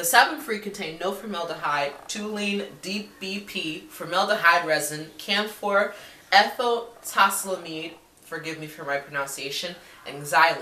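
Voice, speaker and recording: Big swings in loudness mark this woman's speech, which has ordinary pitch variation, a moderate pace and audible room echo. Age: 20s. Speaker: beauty vlogger. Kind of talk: casual product review to camera; casual product review chat. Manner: hesitant, many fillers. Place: home room. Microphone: webcam.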